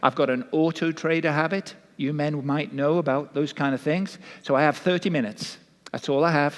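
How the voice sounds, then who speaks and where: A man's fairly high voice with a Welsh accent, fairly quick in pace, with fairly even intonation and very even loudness. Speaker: pastor. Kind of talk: sermon. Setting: church.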